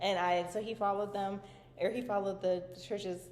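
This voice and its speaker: Over noticeable background noise and audible room echo, a woman speaks at a medium pitch. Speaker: vlogger. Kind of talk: casual vlog chat. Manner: animated.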